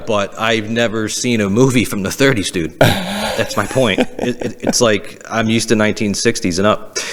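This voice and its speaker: A medium-pitched man with an American accent at a moderate pace, with hardly any pauses and ordinary pitch variation, over noticeable background noise. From Massachusetts. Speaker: stand-up comedian. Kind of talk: casual podcast conversation. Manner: stammering.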